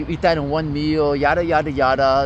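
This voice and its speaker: A man with a fairly high pitch speaks at a moderate pace against noticeable background noise. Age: 30s. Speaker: fitness vlogger. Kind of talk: casual vlog monologue. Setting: outdoors at a park. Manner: casual, filler-heavy.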